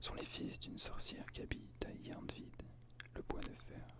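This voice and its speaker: A man whispers. He talks at a fairly slow pace. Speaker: ASMR creator. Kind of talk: book reading of mythology. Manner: whispered.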